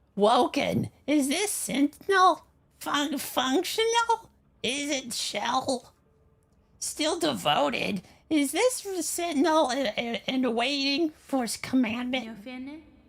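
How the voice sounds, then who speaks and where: A put-on character voice with a high pitch speaks at a very slow pace. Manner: feminine.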